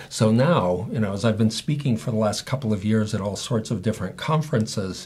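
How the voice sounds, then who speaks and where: Somewhat breathy and fairly low-pitched, the man speaks with ordinary pitch variation. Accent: American. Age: 60s. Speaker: patient advocate and speaker. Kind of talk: interview.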